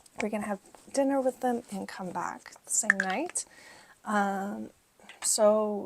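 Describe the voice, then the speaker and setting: Soft-spoken, a woman talks at a fairly slow pace. Her voice sits fairly high, with ordinary pitch variation. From Middle East. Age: 40s. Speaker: lifestyle vlogger. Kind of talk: casual vlog talk to camera.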